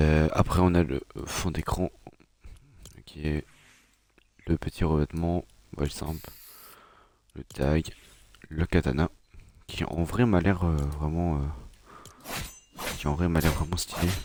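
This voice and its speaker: A man speaks very slowly at a very deep, low pitch, with fairly even intonation and long, frequent pauses. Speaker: gaming youtuber. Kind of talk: gameplay commentary. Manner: hesitant, many fillers.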